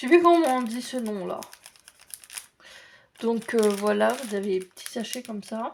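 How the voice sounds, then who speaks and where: A woman speaks quietly at a fairly high pitch, with big swings in loudness. Her pace is fairly slow, with long, frequent pauses. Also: ordinary pitch variation. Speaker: crafts YouTuber. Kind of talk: casual unboxing video. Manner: quiet, avoids making noise.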